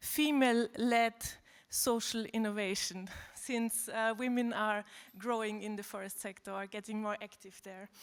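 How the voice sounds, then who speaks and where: This woman's voice has a fairly high pitch and a monotone, flat intonation at a fairly slow pace. The recording is very clean, with a silent background. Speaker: workshop group facilitator. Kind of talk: summary report to conference.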